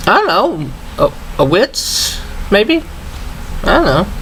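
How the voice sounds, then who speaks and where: A woman with an American accent speaks with very wide pitch swings. Noticeable background noise is present. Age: 40s. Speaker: vlogger. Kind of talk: casual chat. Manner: relaxed, halting with fillers.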